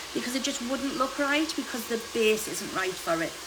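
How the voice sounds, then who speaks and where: A woman at a fairly quick pace, with audible room echo and noticeable background noise. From UK. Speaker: hairdresser. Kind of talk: live tutorial.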